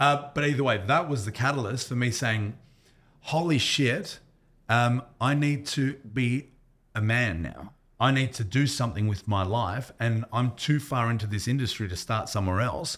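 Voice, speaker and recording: An Australian accent comes through at a moderate pace with ordinary pitch variation, on a very clean recording with a silent background. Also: man, medium pitch for a man. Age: 40s. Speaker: strength coach. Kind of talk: casual chat. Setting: gym.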